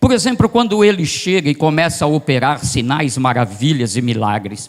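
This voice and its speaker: A man with a fairly high pitch speaks with very wide pitch swings. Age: 60s. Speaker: itinerant pastor. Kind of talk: sermon. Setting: church service.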